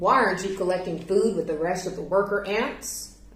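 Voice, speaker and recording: Putting on a character voice, a woman speaks at a medium pitch and a moderate pace with a slight echo. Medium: read story. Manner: gruff, impatient.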